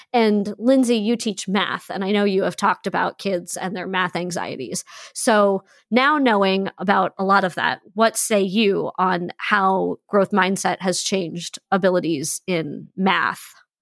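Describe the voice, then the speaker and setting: A woman talks at a fairly slow pace in an ordinary speaking voice of medium pitch, with ordinary pitch variation and a dry, close sound with no echo. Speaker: podcast host and teacher. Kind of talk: casual chat. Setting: video call across time zones.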